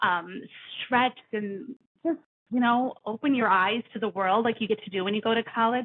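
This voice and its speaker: Speaking with an American accent, a woman has a fairly high pitch and ordinary pitch variation. Her pace is fairly slow. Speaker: career coach. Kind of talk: podcast interview. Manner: loud; halting with fillers.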